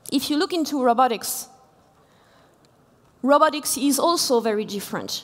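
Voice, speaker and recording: A woman with a French accent speaks at a moderate pace. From France. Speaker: engineering executive, conference speaker. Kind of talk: keynote talk. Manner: halting, many fillers.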